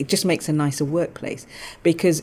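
A woman in a London accent at a very fast pace, with a dark, mellow tone. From England (London, Balham). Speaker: lawyer, general counsel. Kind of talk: interview.

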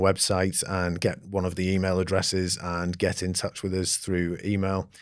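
With an English accent, a man speaks at a moderate pace in a very deep, low pitch. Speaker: company founder and CEO. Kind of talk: interview conversation. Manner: hesitant, many fillers.

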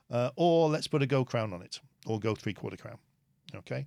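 No echo colors the dry, close sound. The background is silent, and the recording very clean. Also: man. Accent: British. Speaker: dentist and dental educator. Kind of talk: interview.

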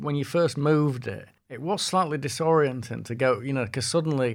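In a very clean recording with a silent background, a man with a Yorkshire accent talks at medium pitch with ordinary pitch variation. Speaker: music journalist, podcast host. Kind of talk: casual interview chat.

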